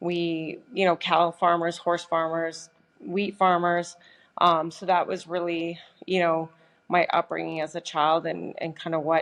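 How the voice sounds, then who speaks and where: With a Canadian Prairies accent, a woman speaks at a fairly slow pace in a fairly low pitch, her intonation monotone and flat against a quiet background. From Canada, Saskatchewan. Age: 40s. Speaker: professional boxer. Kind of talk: podcast interview.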